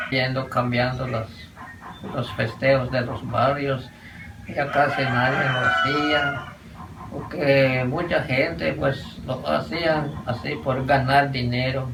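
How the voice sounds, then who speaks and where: A man's medium-pitched voice at a very slow pace, with ordinary pitch variation, audible room echo, and noticeable background noise. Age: 90s. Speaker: elderly local resident. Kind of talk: interview testimony.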